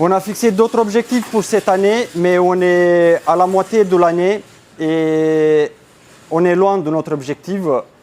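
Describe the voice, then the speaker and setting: Speaking very slowly, a man uses a high pitch with ordinary pitch variation. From Romania. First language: Romanian (speaking French). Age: 30s. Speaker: business owner. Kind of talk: conference talk. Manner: hesitant.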